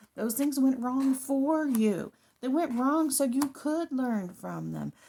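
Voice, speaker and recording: With a high pitch and ordinary pitch variation, a woman talks at a very slow pace. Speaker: tarot and rune reader. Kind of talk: daily spiritual card reading to camera. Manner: unusual cadence.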